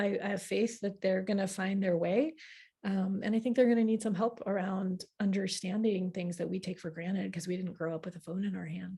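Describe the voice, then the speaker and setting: A somewhat breathy woman's voice, medium in pitch with a dark, mellow tone and ordinary pitch variation. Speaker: astrology teacher. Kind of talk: live online class. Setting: livestream with chat. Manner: fast.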